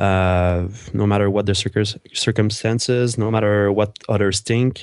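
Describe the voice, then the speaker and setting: Over a quiet background, a man with a French Canadian accent speaks at a moderate pace and a fairly low pitch with fairly even intonation. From Quebec, Montreal. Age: 20s. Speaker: fitness trainer and entrepreneur. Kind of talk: interview.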